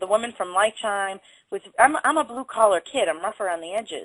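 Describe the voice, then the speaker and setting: In a Boston accent, a woman speaks at a moderate pace with lively intonation, the sound dry and close with no echo. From Boston area, Waltham. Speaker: body language instructor. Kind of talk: interview.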